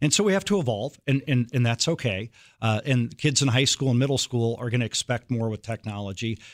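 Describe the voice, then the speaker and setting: In an American accent, a man of medium pitch speaks at a fairly quick pace with ordinary pitch variation on a very clean recording with a silent background. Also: dry, close sound with no echo. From US Midwest, Iowa. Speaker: university president. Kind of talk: radio interview. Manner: halting, frequent repetitions and fillers.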